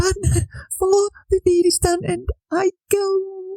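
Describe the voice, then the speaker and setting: Putting on a character voice, a female-sounding voice speaks at a fairly slow pace with an extremely high pitch. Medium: audio drama. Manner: soft, weak, sorrowful.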